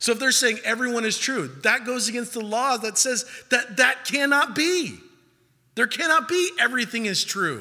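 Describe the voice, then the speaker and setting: Raising and projecting his voice, a man speaks at a moderate pace with an extremely high pitch, a bright, sharp tone and ordinary pitch variation. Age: 30s. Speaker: pastor leading a young adult Bible study. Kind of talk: sermon. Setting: church.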